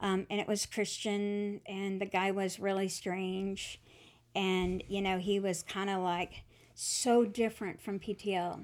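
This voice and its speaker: Speaking at a fairly slow pace with a Southern accent, a woman keeps a medium pitch and a monotone, flat intonation on a very clean recording with a silent background. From US South, Atlanta, Georgia. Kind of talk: testimony.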